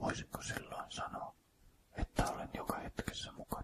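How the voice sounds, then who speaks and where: Someone is whispering. The pace is very slow. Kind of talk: whispered poetry reading. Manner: whispered, soft.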